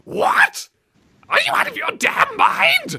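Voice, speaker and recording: This is a put-on character voice. The pitch sits extremely high. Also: fairly slow pace. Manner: silly put-on, outraged.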